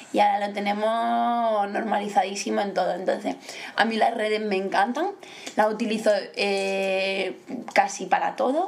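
A woman speaks at a moderate pace with fairly even intonation and a medium pitch, over noticeable background noise and audible room echo. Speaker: family member. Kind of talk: casual chat.

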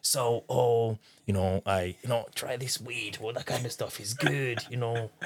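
Speaking with a French accent, a man uses a somewhat breathy voice at medium pitch, moving at a fairly slow pace with ordinary pitch variation. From Democratic Republic of the Congo. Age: 30s. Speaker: interviewee sharing personal story. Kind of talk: casual conversational interview.

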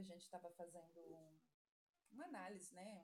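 A woman talks with fairly even intonation. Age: 40s. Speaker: nursing assistant. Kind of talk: casual chat.

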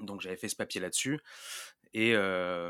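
Speaking in a fairly low pitch, a man keeps his intonation fairly even. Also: dry, close sound with no echo. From Marseille, southern France. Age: 20s. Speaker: sports journalist. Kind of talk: podcast interview. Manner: hesitant, many repetitions.

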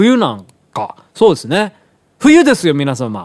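The speech is fairly slow, with very wide pitch swings. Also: man. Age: 40s. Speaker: radio host and pianist. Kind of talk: casual monologue. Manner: rambling with many fillers.

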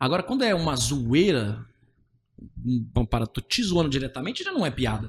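A man's somewhat breathy voice comes with long, frequent pauses. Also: medium pitch for a man, lively intonation, moderate pace. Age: 20s. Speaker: stand-up comedian. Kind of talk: casual chat.

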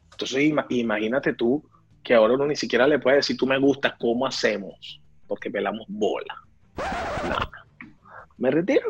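A man speaks at a fairly quick pace but leaves long, frequent pauses. Noticeable background noise is present. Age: 30s. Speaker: podcast co-host. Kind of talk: casual chat.

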